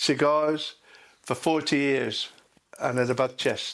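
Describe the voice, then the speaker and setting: Speaking at a very slow pace, a man with an English accent uses a fairly high pitch. His intonation stays monotone and flat. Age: 70s. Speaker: retired lorry driver, bird watcher. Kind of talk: documentary interview.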